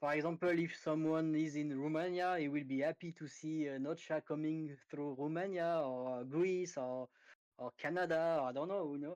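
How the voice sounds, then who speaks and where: A man with a French accent and fairly high pitch at a moderate pace, fairly even intonation, and a quiet background. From France. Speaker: crypto project team member. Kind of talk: interview. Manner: halting, many fillers.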